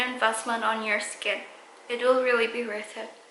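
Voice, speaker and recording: Audible room echo surrounds a woman's voice. Her pitch is high. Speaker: beauty vlogger. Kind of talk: casual vlog talk to camera. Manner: slow; halting, many fillers.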